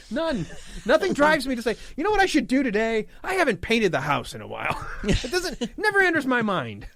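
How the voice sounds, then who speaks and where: A man talks at a fairly quick pace with very wide pitch swings. Noticeable background noise is present. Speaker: fill-in radio host. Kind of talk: casual talk radio chat. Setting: radio studio. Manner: animated, passionate.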